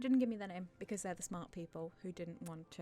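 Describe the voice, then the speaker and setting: A woman's lively intonation carries while music plays behind her. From Australia. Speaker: YouTube channel owner. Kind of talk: Q&A video monologue. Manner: halting, many fillers.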